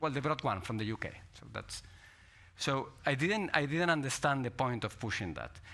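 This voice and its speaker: A man with a Spanish accent speaks at medium pitch in a bright, sharp tone, with lively intonation and big swings in loudness. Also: moderate pace. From Spain. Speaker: politician. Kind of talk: panel discussion.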